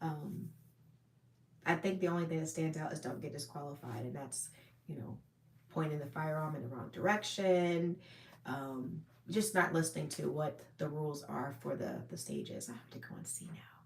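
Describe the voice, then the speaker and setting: A woman with a very deep, low pitch and vocal fry speaks at a moderate pace with ordinary pitch variation. Her loudness swings widely, and there is audible room echo. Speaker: firearms and self-defense livestreamer. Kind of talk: live stream chat reading viewer comments. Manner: casual with many fillers.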